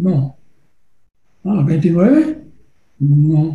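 A man's dark, mellow voice at a very slow pace, very wide pitch swings, and audible room echo. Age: old. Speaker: political campaign consultant. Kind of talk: workshop lecture. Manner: halting, many fillers.

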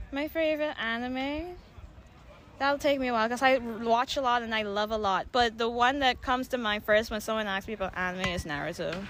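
A woman talks at a fairly quick pace with lively intonation in an ordinary speaking voice. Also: fairly high pitch for a woman. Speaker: cosplayer, contest winner. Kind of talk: casual interview.

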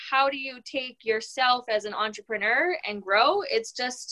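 A woman's raised, projected voice rings out high, bright and sharp, with lively intonation. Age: 30s. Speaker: hearing care professional and entrepreneur. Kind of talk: interview conversation.

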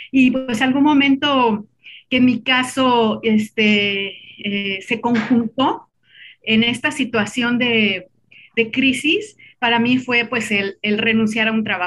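A woman talks very slowly, keeping her intonation fairly even. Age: 40s. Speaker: lawyer and writer. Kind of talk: casual chat.

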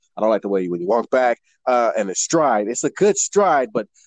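A man with an American accent talks at a fairly quick pace, and the sound is dry and close with no echo. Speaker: model and performer. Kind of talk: casual chat.

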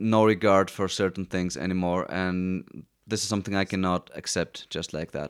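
A man speaks with a very deep, low pitch at a moderate pace and hardly any pauses. The recording is very clean, with a silent background. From Greece, Athens. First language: Greek. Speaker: musician. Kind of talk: casual chat. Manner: halting.

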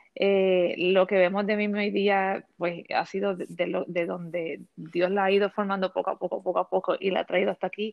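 With a Puerto Rican accent, the speaker keeps a moderate pace and a monotone, flat intonation, with hardly any pauses. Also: woman, medium pitch for a woman. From Puerto Rico. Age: 40s. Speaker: educator and fashion content creator. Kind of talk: interview.

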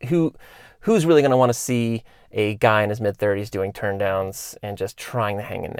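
A man's fairly low voice at a moderate pace, an ordinary speaking voice with ordinary pitch variation, on a very clean recording against a silent background. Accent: American. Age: 30s. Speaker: podcast host, former pro BMX rider. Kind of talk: solo podcast monologue. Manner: casual, many fillers.

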